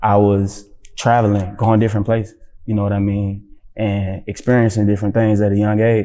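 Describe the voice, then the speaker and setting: A man with an American accent, fairly low pitch, dark, mellow tone, monotone, flat intonation and a fairly quick pace. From Atlanta, US South. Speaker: rapper and actor. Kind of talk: casual interview chat. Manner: relaxed, conversational.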